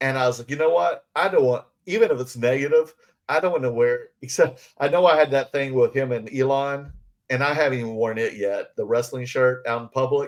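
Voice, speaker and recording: Here a man speaks with a Southern US accent. His pace is fairly quick. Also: medium pitch for a man, ordinary pitch variation. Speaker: podcast co-host. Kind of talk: casual chat. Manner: halting, many fillers.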